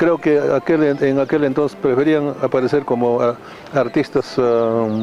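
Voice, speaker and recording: Against noticeable background noise, a man speaks at a fairly slow pace in a medium pitch, with fairly even intonation and very even loudness. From Bolivia, Cochabamba highlands (colla). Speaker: music label founder and businessman. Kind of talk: interview. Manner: halting with many repetitions.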